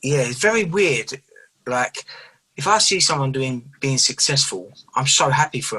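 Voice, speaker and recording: A fairly high-pitched man's voice in an East London accent, bright and sharp in tone, at a moderate pace with lively intonation. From England, East London. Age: 30s. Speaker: professional boxer. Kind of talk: casual interview.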